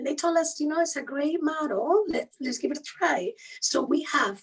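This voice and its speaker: A woman speaks at a high pitch with a strong Spanish accent. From Spain. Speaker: human rights lawyer. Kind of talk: interview.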